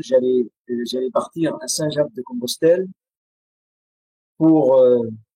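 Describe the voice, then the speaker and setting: A man with an Arabic accent speaks fairly slowly at a fairly high pitch, his tone dark and mellow, in a dry, close sound with no echo. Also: long, frequent pauses. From Syria. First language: Arabic (speaking French). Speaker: writer and poet. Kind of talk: interview testimony. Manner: hesitant, many fillers.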